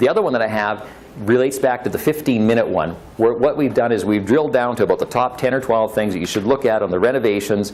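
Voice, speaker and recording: Here is a Canadian accent at a very fast pace. The pitch varies in an ordinary way. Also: man, medium pitch for a man. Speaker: real estate investor. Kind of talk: presentation. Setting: meetup audience.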